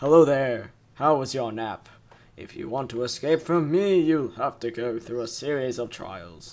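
A man speaks in a put-on character voice at medium pitch. His loudness swings widely, and his pace is moderate. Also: lively intonation. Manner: taunting, mysterious.

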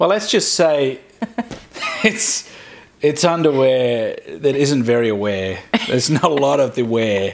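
Speaking with an Australian accent, a man at medium pitch goes at a fairly slow pace with lively intonation, very even loudness and long, frequent pauses over light background noise. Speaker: video blogger. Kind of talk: casual chat. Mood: humorous, joking. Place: home room. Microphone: lapel.

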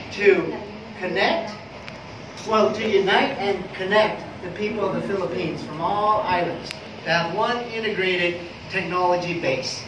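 With noticeable background noise and audible room echo, a high-pitched man talks with long, frequent pauses. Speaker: presenter. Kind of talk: business presentation. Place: meeting room. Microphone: camera far.

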